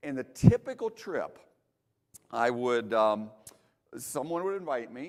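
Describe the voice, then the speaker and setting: His voice sitting at medium pitch, a man speaks with very wide pitch swings. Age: 60s. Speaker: creation speaker and teacher. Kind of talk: testimony. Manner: halting, frequent repeated words.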